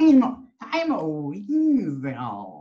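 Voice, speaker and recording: At a middle pitch, the speaker uses a put-on character voice. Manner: sneaky, playful.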